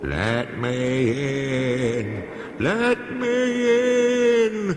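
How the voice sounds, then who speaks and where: A man does a put-on character voice at a fairly high pitch, with clear background noise and a slight echo. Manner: spooky.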